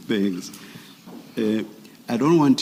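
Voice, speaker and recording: A man with a South African accent and ordinary pitch variation. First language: isiXhosa. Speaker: commissioner at a public inquiry. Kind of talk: formal questioning of a witness.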